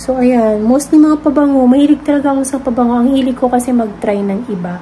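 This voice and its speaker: A soft-spoken woman with a high pitch, fairly even intonation and a moderate pace, over noticeable background noise. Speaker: vlogger. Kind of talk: casual vlog chat.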